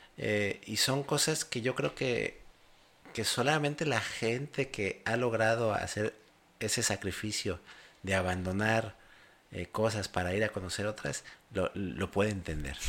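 A man with an unremarkable speaking voice talks at a fairly slow pace in a fairly low pitch, with ordinary pitch variation. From Mexico. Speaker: podcast host. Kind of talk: casual interview.

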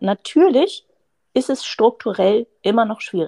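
A woman's dark, mellow voice, very slow, with lively intonation and a dry, close sound free of echo. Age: 30s. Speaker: surgeon. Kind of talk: interview.

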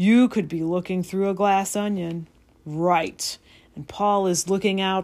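Fairly even intonation in plain reading aloud

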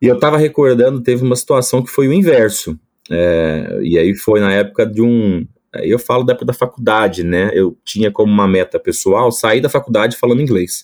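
Keeping his loudness very even, a man speaks at a fairly quick pace and medium pitch with lively intonation. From Brazil, Espírito Santo. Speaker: agronomist, product manager. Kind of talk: casual interview.

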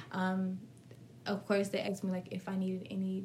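Somewhat breathy, a woman at a medium pitch speaks at a fairly quick pace. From US South, Florida (Fort Pierce). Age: 20s. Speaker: lash and brow business owner. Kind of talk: casual chat.

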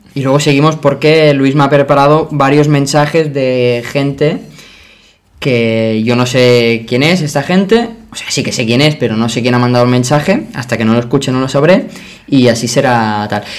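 With an unremarkable speaking voice, a man talks at a moderate pace and a fairly high pitch, with ordinary pitch variation. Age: 20s. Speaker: podcast host. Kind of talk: casual chat.

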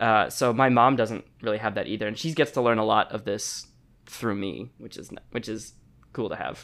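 This man has a normal speaking voice and an American accent, talking at a moderate pace with a medium pitch. His intonation is fairly even, though his loudness shows big swings. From Chicago, US. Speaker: singer and journalist. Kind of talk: casual interview chat. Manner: casual, filler-heavy.

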